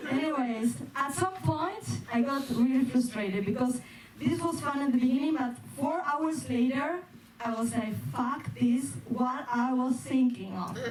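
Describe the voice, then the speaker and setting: A woman with a Spanish accent speaks at a fairly slow pace in a high pitch with ordinary pitch variation. Noticeable background noise and audible room echo are present. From Spain. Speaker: performer, dancer and stand-up comedian. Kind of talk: stand-up. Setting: stage with audience. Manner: halting, with self-corrections.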